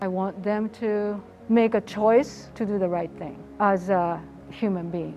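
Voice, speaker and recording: Her voice sits at a medium pitch with fairly even intonation. Noticeable background noise runs behind the woman. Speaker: English teacher. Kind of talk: interview testimony.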